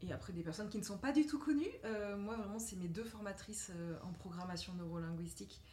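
A woman talks at a moderate pace. There is audible room echo. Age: 30s. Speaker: mindset coach. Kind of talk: casual interview chat.

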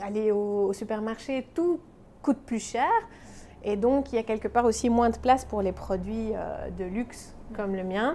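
At a fairly slow pace, a woman talks with a fairly high pitch and ordinary pitch variation over noticeable background noise. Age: 30s. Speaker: pastry chef and shop owner. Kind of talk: interview. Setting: in her workshop. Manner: animated.

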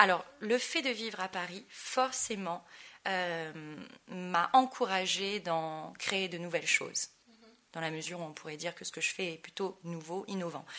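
This woman has a medium pitch and a bright, sharp tone, speaking at a fairly slow pace. Her loudness swings widely. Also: ordinary pitch variation. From Tahiti, French Polynesia. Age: young. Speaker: dancer and dance school owner. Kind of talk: interview. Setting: in person.

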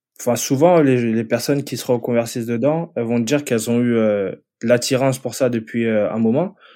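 Over a very clean recording with a silent background, a man speaks at a moderate pace and medium pitch, his tone dark and mellow, with ordinary pitch variation. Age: 30s. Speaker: web developer. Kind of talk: casual interview.

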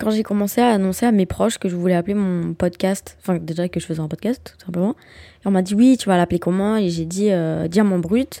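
Speaking at a fairly quick pace, a woman has a dark, mellow tone and ordinary pitch variation. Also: medium pitch for a woman. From Belgium. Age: 20s. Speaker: podcaster, university student. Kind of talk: solo podcast monologue. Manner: casual, hesitant with fillers.

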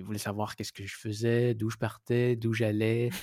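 A man speaks in a Quebec accent. The sound is dry and close with no echo, and the recording is very clean with a silent background. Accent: Québécois French. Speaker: cycling traveller. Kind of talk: interview. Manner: halting.

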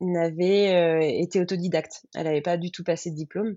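In a normal speaking voice, a woman talks at a fairly slow pace. Her pitch is fairly low, with fairly even intonation. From Picardy, France (Baie de Somme, countryside). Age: 30s. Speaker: former lawyer turned freelance florist. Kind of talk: interview testimony.

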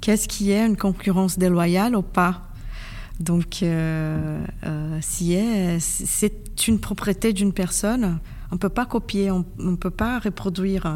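Very slow and with fairly even intonation, a woman speaks in a Portuguese accent. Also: very even loudness. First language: Portuguese (speaking French). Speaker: intellectual property lawyer. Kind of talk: interview. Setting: convention center.

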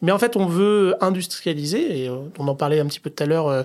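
A man's speech moves along fairly quickly, its pitch varying in an ordinary way. His is an unremarkable speaking voice. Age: 40s. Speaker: head of design. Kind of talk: casual interview.

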